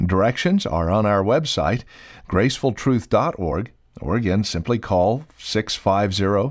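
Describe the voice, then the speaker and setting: The speaker uses ordinary pitch variation. The recording is very clean, with a silent background. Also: man. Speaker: radio announcer. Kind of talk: radio announcement. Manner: formal, measured.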